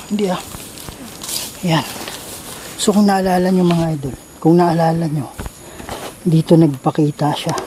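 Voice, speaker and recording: With noticeable background noise behind him, a man speaks in a high voice. His intonation stays fairly even, and he takes long, frequent pauses. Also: moderate pace. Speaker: ghost hunter vlogger. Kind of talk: vlog narration on location.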